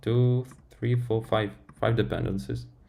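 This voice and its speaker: Lively intonation from a man with a dark, mellow tone and fairly low pitch, at a fairly slow pace amid audible room echo. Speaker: software developer streamer. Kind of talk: live-stream tech talk. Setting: live stream. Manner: halting, many fillers.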